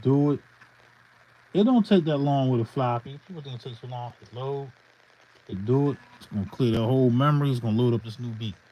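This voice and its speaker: The speech comes at a very fast pace, broken by long, frequent pauses. Its pitch variation is ordinary, while its loudness swings widely. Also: man, medium pitch for a man. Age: 50s. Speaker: hip hop beat producer. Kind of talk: casual livestream tutorial. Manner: casual, loose and unscripted.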